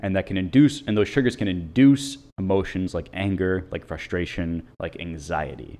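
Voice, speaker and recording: Lively intonation marks this man's American accent. His pitch is very deep and low, and his pace is moderate. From US, Italian American family. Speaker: podcast host, mental performance consultant. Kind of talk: solo educational monologue. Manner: scripted.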